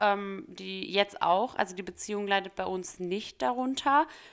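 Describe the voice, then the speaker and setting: A woman's medium-pitched voice, a normal speaking voice with ordinary pitch variation, on a very clean recording with a silent background. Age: 20s. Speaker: podcast host and student. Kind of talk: casual solo Q&A podcast. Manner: chatty with fillers.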